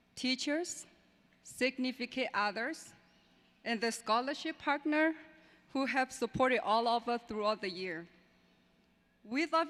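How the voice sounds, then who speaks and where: A woman talks at a fairly slow pace, leaving long, frequent pauses. Her intonation is lively. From Burma, raised in refugee camp in Thailand. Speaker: adult education graduate. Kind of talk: graduation speech. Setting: graduation ceremony with audience.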